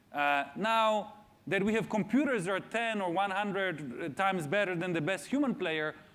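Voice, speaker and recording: A man speaks with a non-native accent. His pitch is high. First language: not English. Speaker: AI researcher and speaker. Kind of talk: public talk Q&A. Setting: stage with audience in school theater. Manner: hesitant with frequent fillers.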